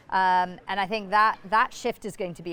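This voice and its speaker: A woman speaks with an American accent. She keeps a moderate pace. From United States. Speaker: business executive. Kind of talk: conference interview. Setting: conference.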